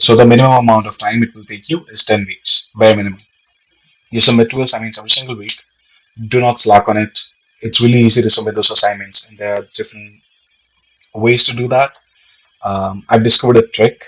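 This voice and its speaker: A man with a non-native accent and medium pitch talks at a very fast pace with fairly even intonation, big swings in loudness, and long, frequent pauses. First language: not English. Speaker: aspiring real estate agent, vlogger. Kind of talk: informational vlog. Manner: casual, with many fillers.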